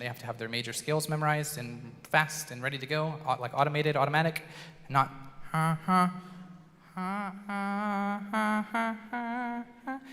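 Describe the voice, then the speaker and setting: A man speaks with lively intonation. Audible room echo surrounds the voice. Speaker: school band director. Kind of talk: concert introduction. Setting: stage with audience, PA system. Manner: loud.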